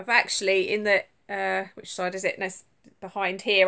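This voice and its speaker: In a Suffolk accent, a woman with a fairly high pitch and a bright, sharp tone talks at a moderate pace in a very clean recording with a silent background. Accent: Suffolk accent, sounds like London. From England, Suffolk. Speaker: crochet vlogger. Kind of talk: casual live stream chat. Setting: live stream from tablet at home. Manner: hesitant, stumbles over words.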